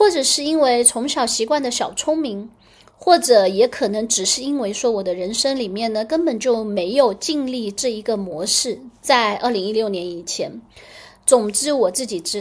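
Speaking at a moderate pace, a woman uses lively intonation in a high voice. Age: 40s. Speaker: astrologer and podcast host. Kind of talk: casual solo podcast monologue.

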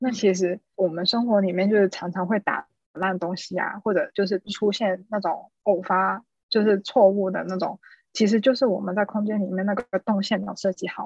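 A woman talks at a moderate pace in a plain, everyday voice of medium pitch, her intonation fairly even. The sound is dry and close with no echo. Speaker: designer, overseas Chinese student. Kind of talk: interview storytelling.

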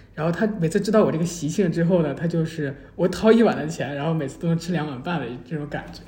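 A man talks very fast with hardly any pauses, in a high voice with ordinary pitch variation. His loudness swings a lot, and noticeable background noise runs underneath. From mainland China. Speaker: graduate student. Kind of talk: casual chat. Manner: halting, many fillers.

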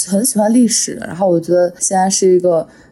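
A woman speaks at a fairly quick pace in a plain, everyday voice. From Henan, small county near Shanxi/Shaanxi border. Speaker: podcast host. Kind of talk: casual chat.

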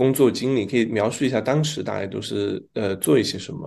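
A man with a southern Chinese accent and vocal fry, at a moderate pace with ordinary pitch variation, against a quiet background. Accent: southern Chinese Mandarin. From southern China. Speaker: podcast host. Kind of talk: casual interview.

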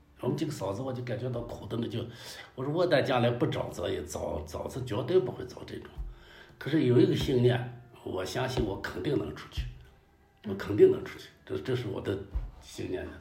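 A man talks at a fairly quick pace with big swings in loudness. Audible room echo and noticeable background noise fill the recording. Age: 60s. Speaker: local historian and scholar. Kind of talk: casual interview chat. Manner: halting, many fillers.

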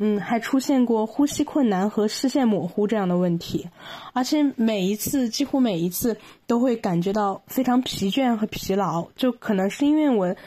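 Somewhat breathy, a woman speaks with a dark, mellow tone at a fairly high pitch and a fairly slow pace. Her pitch variation is ordinary, and the recording is very clean with a silent background. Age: 20s. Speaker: podcast guest sharing mental health experience. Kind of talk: personal testimony in interview. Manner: halting, many fillers.

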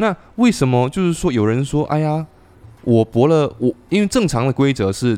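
The background is quiet as a man speaks. His pitch swings very widely. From Xiamen, southern Fujian. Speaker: podcast host. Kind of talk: casual chat. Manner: animated.

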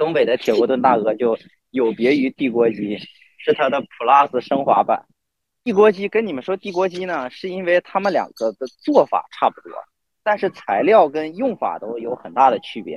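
A man's fairly high voice with a northeastern Chinese accent, dry and close with no echo, at a moderate pace with big swings in loudness and very wide pitch swings. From Northeast China. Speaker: podcast guest. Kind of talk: casual chat.

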